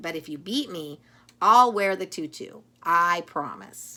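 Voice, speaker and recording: In a very clean recording with a silent background, a female-sounding speaker uses a put-on character voice at a middle pitch and a fairly slow pace. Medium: read story. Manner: brash, pushy.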